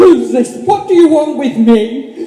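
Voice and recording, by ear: A man's put-on character voice at an extremely high pitch, dark and mellow in tone, with lively intonation and audible room echo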